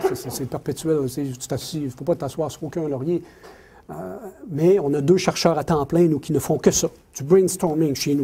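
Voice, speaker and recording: Moderate-speed speech from a man, with ordinary pitch variation. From Quebec City, Quebec. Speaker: mining company executive. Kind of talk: lecture. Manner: animated, repetitive.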